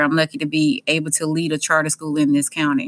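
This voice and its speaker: In a Southern US accent, a woman speaks with a very deep, low pitch. Her tone is bright and sharp. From Mississippi. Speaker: school principal. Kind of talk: interview. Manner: animated.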